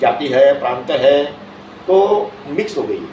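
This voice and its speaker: Room echo is audible as a man talks. Background noise can also be clearly heard. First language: Marathi (speaking Hindi). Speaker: invited speaker. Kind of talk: speech at official event.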